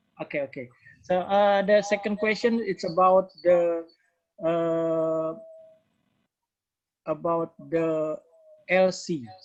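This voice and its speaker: At a very slow pace and with long, frequent pauses, the speaker talks in an Indonesian accent. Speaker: training participant asking questions. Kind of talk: Q&A session. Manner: halting.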